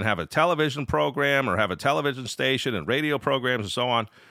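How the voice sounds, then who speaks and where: A man talks at a medium pitch. Vocal fry runs through his voice. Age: 40s. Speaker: podcast host, amateur radio operator. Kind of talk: solo podcast monologue. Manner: casual, with frequent fillers and restarts.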